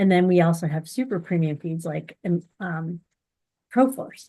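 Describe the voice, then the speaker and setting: A woman with an American accent speaks at a fairly slow pace in a medium pitch, an unremarkable speaking voice. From US, grew up on a dairy farm. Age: 40s. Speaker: horse feed company representative and amateur barrel racer. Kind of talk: interview.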